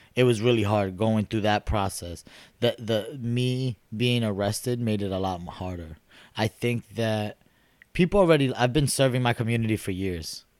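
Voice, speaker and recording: A man with a New York accent is heard in a dry, close sound with no echo on a very clean recording with a silent background. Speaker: city council candidate. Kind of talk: casual chat.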